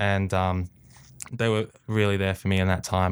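With an Australian accent, a man speaks at a fairly low pitch and fairly even intonation on a very clean recording with a silent background. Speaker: athlete. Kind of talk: interview.

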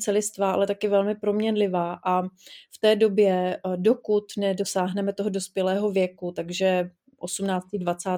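A woman's dark, mellow tone with monotone, flat intonation. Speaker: psychologist. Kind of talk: interview.

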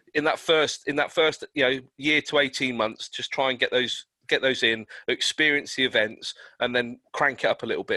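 A man at a moderate pace, dry, close sound with no echo, in a very clean recording, silent background. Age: 40s. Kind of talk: casual chat.

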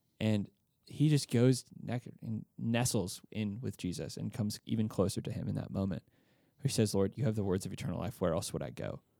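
A man speaks at a fairly quick pace in a fairly low voice with a dark, mellow tone. His intonation is lively, with vocal fry throughout. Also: dry, close sound with no echo. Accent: American. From Texas, Austin. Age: 20s. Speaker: campus missionary. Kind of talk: casual interview.

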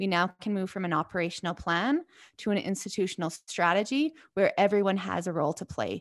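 In a Canadian accent, a woman talks at a fairly quick pace in a normal speaking voice of medium pitch with ordinary pitch variation, the recording very clean with a silent background and a dry, close sound with no echo. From southern Alberta, Canada. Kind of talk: interview.

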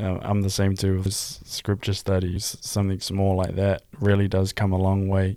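A man with a New Zealand accent speaks at a moderate pace in a fairly low pitch, his dark, mellow tone flat and monotone at very even loudness, on a very clean recording with a silent background. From New Zealand, Hamilton. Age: 20s. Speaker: church youth podcaster, filmmaker. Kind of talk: casual faith discussion.

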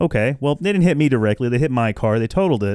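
On a very clean recording with a silent background, a man with an ordinary speaking voice talks at a medium pitch with lively intonation. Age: 30s. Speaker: comedy podcast host. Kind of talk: casual monologue.

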